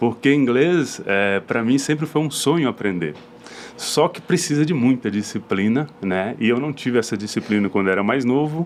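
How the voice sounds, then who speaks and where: There is noticeable background noise behind this man. He speaks at a medium pitch and a moderate pace, with lively intonation. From rural Brazil. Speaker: podcast host. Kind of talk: podcast interview.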